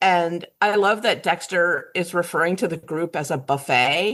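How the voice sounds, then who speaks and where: A woman speaks at a fairly slow pace and a medium pitch, with ordinary pitch variation. The recording is very clean, with a silent background. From Southern Virginia. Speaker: podcast guest. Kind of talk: casual chat. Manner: animated.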